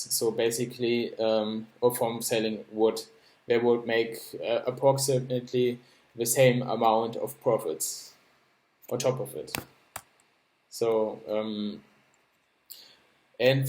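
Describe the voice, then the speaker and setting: With a German accent, a man speaks at a medium pitch and a very slow pace, in a monotone, flat intonation broken by long, frequent pauses. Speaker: project founder presenting a crypto project. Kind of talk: explainer presentation. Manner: halting, many fillers and repetitions.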